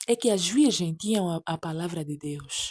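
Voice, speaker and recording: Soft-spoken with a dark, mellow tone, the voice moves at a fairly slow pace on a very clean recording with a silent background and a dry, close sound with no echo. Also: woman. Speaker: preacher. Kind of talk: sermon.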